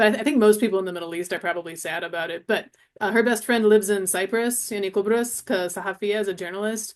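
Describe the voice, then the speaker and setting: A woman talks at a very fast pace. Her pitch sits in the medium range. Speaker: Arabic instructor. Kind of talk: interview conversation. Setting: livestream with chat.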